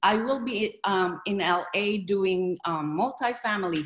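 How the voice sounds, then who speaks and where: A woman's somewhat breathy voice sits over a quiet background. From Philippines. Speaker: real estate investor. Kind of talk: interview. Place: home room. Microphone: video call.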